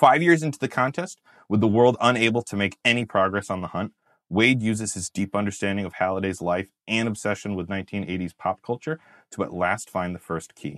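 A plain, everyday voice in a General American accent uses ordinary pitch variation, with a dry, close sound, no echo and a quiet background. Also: man, fairly low pitch for a man. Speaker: podcast host. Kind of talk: casual chat.

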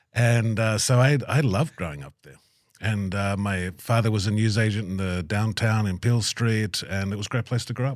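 On a very clean recording with a silent background, a man with an Australian accent talks at a moderate pace in a fairly low pitch, with ordinary pitch variation and big swings in loudness. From Australia, Tamworth. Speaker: podcast host, aid worker. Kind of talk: interview conversation.

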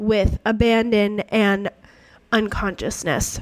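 A woman speaks slowly in a fairly high pitch.

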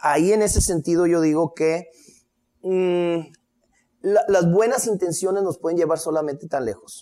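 With a dark, mellow tone and high pitch, a man speaks at a fairly slow pace, with ordinary pitch variation and long, frequent pauses. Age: 50s. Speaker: history lecturer. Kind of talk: casual chat.

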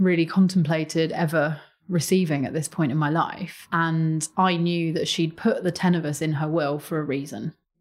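With a London accent, a woman speaks at fairly low pitch on a very clean recording with a silent background. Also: hardly any pauses. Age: 30s. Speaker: charity chief executive. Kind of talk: interview.

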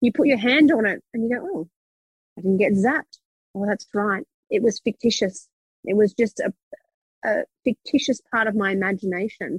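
Somewhat breathy and fairly high, a woman speaks at a moderate pace with ordinary pitch variation and long, frequent pauses, in a dry, close sound with no echo. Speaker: psychic business mentor. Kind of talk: interview conversation. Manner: energetic.

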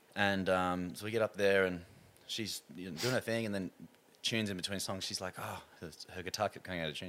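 Speaking at a fairly quick pace with an Australian accent, this voice shows ordinary pitch variation and long, frequent pauses on a very clean recording with a silent background. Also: man. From Australia (Sydney, New South Wales). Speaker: singer. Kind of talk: casual chat.

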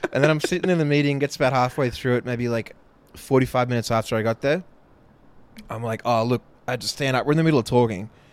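Speaking in an Australian accent, a man with medium pitch talks at a very fast pace but leaves long, frequent pauses. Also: ordinary pitch variation. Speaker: podcast co-host. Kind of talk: casual chat.

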